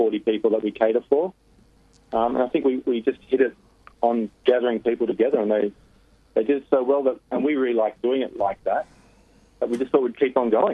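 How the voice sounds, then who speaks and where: A man with a plain, everyday voice talks at a fairly quick pace. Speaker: chef. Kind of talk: interview. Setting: phone call.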